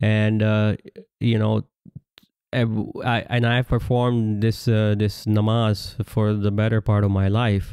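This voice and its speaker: A man with a Pakistani accent speaks at a fairly slow pace in a monotone, flat delivery, his fairly low pitch carrying a dark, mellow tone at very even loudness. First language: Urdu. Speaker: religious commentator. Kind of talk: religious lecture. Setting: audio-only recording. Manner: halting with many fillers.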